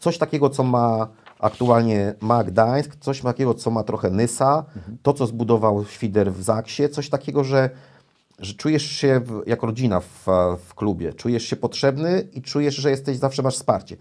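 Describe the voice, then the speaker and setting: A man talks at a moderate pace and a medium pitch, with ordinary pitch variation. His loudness swings widely against a quiet background. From Poland. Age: 40s. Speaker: volleyball commentator and former player and coach; guest, coach. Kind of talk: casual interview. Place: studio.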